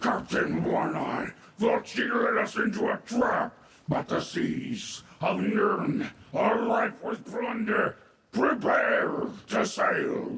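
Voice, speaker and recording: In a put-on character voice, a man speaks raspily at an extremely high pitch and a very slow pace, with strong echo around him. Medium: video game. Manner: arrogant, cold.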